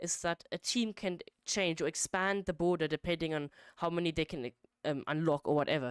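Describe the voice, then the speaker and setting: A woman speaks in a plain, everyday voice, fairly low in pitch with ordinary pitch variation, at a moderate pace. The recording is very clean with a silent background, and the sound is dry and close with no echo. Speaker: game modding streamer. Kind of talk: live stream coding commentary. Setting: live stream at computer. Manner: casual, filler-heavy.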